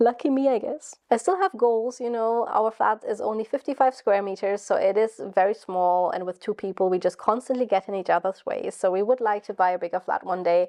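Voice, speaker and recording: A woman's fairly high voice with a German accent, fairly quick and with hardly any pauses, in a dry, close sound with no echo over a quiet background. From Germany. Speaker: YouTuber and PhD student. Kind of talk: vlog monologue. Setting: at home in her flat. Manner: casual, rambling.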